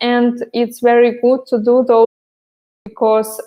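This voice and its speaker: A woman with a non-native accent talks at a fairly high pitch. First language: not English. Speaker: pole dance instructor. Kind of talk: live stream Q&A about online classes. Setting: live stream. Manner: halting, many fillers.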